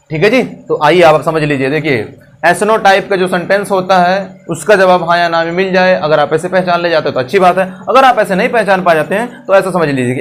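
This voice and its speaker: Music plays in the background. The pitch varies in an ordinary way. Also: man. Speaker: English teacher. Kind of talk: grammar lesson to camera. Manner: funny, comedic.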